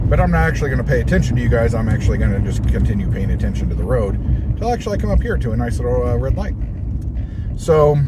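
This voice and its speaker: Delivered at a very fast pace, the speech has a dry sound with no echo despite loud background noise. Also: man. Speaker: toy collector vlogger. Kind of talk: casual vlog chat. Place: car. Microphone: phone near.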